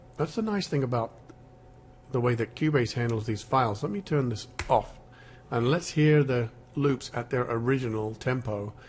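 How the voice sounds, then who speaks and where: Somewhat breathy, a man speaks at a moderate pace, pausing often and at length. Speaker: music software tutor. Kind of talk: screen-recorded software tutorial. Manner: casual, halting with fillers.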